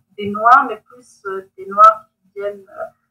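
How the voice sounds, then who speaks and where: A woman speaks at a fairly slow pace in a fairly high voice, with music playing behind her. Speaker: lawyer. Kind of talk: interview. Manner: halting, many hesitations.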